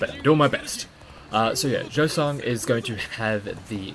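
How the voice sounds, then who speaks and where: A man with an Australian accent at medium pitch, moderate pace and ordinary pitch variation, with noticeable background noise. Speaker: video game speedrunner streamer. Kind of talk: live gameplay commentary. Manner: casual, filler-heavy explanatory.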